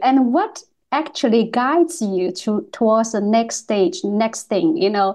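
Speaking with a non-native accent, a woman uses a fairly high voice and lively intonation. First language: not English. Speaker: podcast host and artist. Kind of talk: casual interview. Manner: halting.

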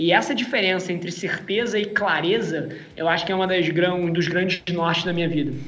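A high-pitched man talks at a fairly quick pace with hardly any pauses and very even loudness. Noticeable background noise and audible room echo fill the recording. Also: ordinary pitch variation. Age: 30s. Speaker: entrepreneur. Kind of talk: interview.

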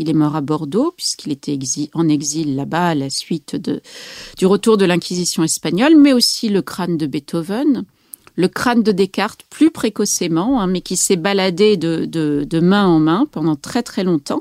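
At a fairly slow pace, a woman talks in a dry, close sound with no echo. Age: 40s. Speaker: novelist and psychoanalyst. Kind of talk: interview. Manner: hesitant with many fillers.

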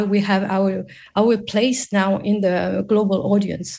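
A woman speaks at a very slow pace in a medium pitch with a dark, mellow tone. Her voice is somewhat breathy and her intonation is monotone and flat. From Morocco. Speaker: animation producer and entrepreneur. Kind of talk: radio interview. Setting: video call.

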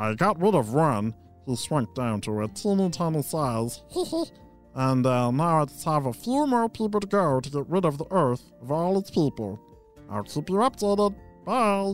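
A man puts on a character voice at a fairly high pitch, speaking at a moderate pace with faint music in the background. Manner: scheming, then cheerful and agreeable.

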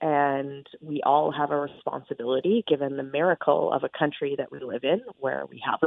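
A woman is speaking. Her pace is moderate. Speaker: politician. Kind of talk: interview.

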